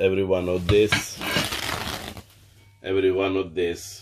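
A man speaks at a slow pace.

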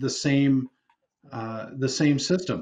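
A man with an Upper Midwest accent talks at a fairly high pitch with ordinary pitch variation. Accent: Upper Midwest (Minnesota). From Minnesota (Prior Lake); Minnesota. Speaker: state senator. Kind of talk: televised panel discussion. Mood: earnest, argumentative. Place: home room. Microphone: video call.

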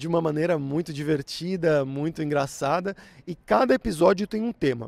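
A man's high-pitched voice in a São Paulo accent, lively in intonation, with dry sound and no echo. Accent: São Paulo Brazilian Portuguese. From Brazil, São Paulo. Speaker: language teacher, YouTuber. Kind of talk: tutorial. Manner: clear, measured for learners; casual, upbeat. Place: garden. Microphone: handheld.

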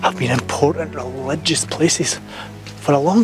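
Clear music plays behind a man whose voice has a dry sound with no echo. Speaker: history presenter. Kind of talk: casual talk to camera. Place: open country. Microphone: phone near.

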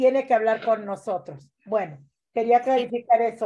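In a quiet setting, a woman talks with a dark, mellow tone at a fairly high pitch, her pitch varying in an ordinary way. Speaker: community organizer hosting a weekly political show. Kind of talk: interview about state legislation. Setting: livestream. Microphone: video call.

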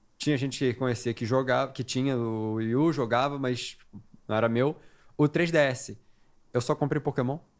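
Against a quiet background, a man with an unremarkable speaking voice talks at medium pitch and a moderate pace, with fairly even intonation. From Brazil. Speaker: gaming podcast guest; podcast guest. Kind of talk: casual chat. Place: studio. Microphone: studio mic.

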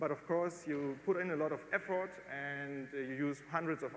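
A man at a fairly high pitch with a German accent, moderate pace and fairly even intonation, amid light background noise and audible room echo. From northern Germany. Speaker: amateur rocket builder. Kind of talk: lecture. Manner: halting.

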